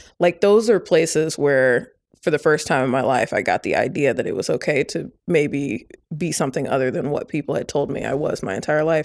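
A woman with an American accent, very deep and low in pitch, at a fairly quick pace with ordinary pitch variation, on a very clean recording with a silent background. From Indiana, Indianapolis west side. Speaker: author. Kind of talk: interview. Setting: at her home.

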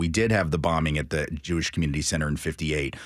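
Very deep and low in pitch, this man talks at a very fast pace. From Nashville, Tennessee. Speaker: anti-racist writer and educator. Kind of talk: radio interview.

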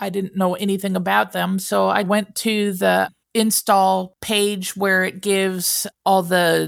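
A very clean recording with a silent background captures a woman talking fairly slowly. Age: 50s. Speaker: semi-retired user of an AI companion app. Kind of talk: interview testimony.

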